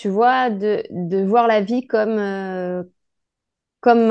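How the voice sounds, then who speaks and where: A woman keeps her intonation fairly even against a quiet background. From France. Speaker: podcast host, life coach. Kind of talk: interview.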